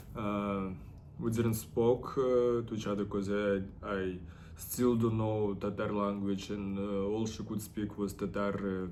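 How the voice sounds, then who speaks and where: A man's fairly low voice comes out monotone and flat at a fairly slow pace, with audible room echo. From Russia, Ufa (Bashkortostan). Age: 30s. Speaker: artist and model. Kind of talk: personal vlog monologue. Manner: halting, many fillers.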